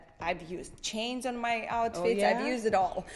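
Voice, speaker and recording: Her pitch varies in an ordinary way as she talks at a moderate pace. The woman speaks with a Russian accent. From Saint Petersburg, Russia. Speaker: makeup artist, hairstylist, former ballroom dancer. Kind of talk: interview answer.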